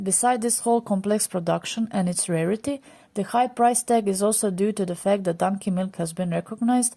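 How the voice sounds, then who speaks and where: A woman speaks in a dark, mellow tone. Her pace is fairly quick. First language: not English. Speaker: food channel narrator. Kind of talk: scripted narration.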